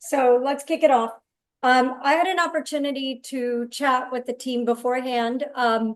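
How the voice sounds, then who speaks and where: Loud and at a moderate pace, a woman speaks with a high pitch and fairly even intonation. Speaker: chef. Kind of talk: cooking demonstration.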